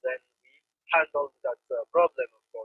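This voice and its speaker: A man speaks with a Congolese accent. His pace is moderate. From DR Congo. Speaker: refugee community organizer. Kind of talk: interview.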